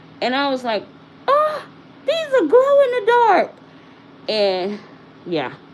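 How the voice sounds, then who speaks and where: A woman speaks in a Southern US accent at a very slow pace. Noticeable background noise can be heard. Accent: country, rural American Southern-style. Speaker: livestreamer reviewing beauty products. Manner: casual, chatty, self-deprecating.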